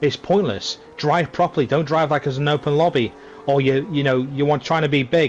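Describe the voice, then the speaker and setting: A man with a British accent speaks at a fairly quick pace and a fairly high pitch, with fairly even intonation and very even loudness. Noticeable background noise is present. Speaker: sim racing commentator. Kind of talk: live commentary.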